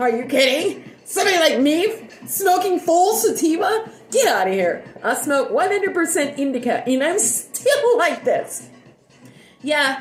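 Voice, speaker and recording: Over music in the background and audible room echo, a woman speaks at an extremely high pitch with very wide pitch swings. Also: very even loudness. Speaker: livestreamer. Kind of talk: casual livestream chat. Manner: fast; loud.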